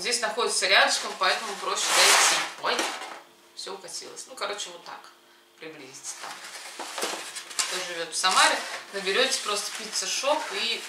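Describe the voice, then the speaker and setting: A woman speaking at a moderate pace with long, frequent pauses over loud background noise. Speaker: food vlogger. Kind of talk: casual vlog chat. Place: kitchen. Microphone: camera far.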